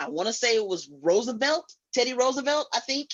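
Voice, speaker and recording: Speaking loudly at a fairly quick pace, a woman with an American accent uses a high-pitched voice. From Illinois, Chicago. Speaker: guest. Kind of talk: casual chat.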